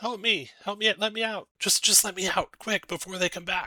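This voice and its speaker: A man puts on a character voice at a high pitch, talking at a moderate pace with fairly even intonation in a dry, close sound with no echo. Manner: desperate, pleading, urgent.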